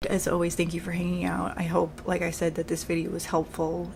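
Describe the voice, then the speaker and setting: A woman with a strong New York accent, fairly low in pitch, her intonation flat and monotone. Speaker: makeup artist. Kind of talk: tutorial. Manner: sounds aggressive.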